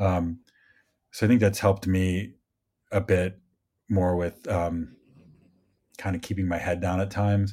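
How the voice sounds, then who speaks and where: A man with a Midwestern American accent, very deep and low in pitch, fairly slow and monotone, with long, frequent pauses. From US Midwest. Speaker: film crew member. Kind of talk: casual chat.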